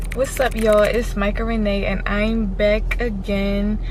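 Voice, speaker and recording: Moderate-paced speech from a woman, amid audible room echo and noticeable background noise. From US Northeast, Philadelphia. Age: 20s. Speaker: vlogger, college student. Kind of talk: casual vlog talk. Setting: in a car.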